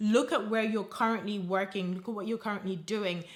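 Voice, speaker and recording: A woman with a Nigerian accent speaks in an animated tone at a fairly high pitch. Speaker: career coach. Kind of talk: motivational advice video.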